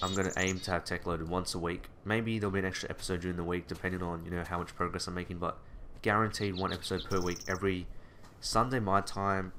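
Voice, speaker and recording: The voice rushes along at a very fast pace in a flat monotone. Its tone is bright and sharp. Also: man, very deep, low pitch for a man. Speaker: gaming video creator. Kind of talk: gameplay commentary. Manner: fast bursts then pauses; casual.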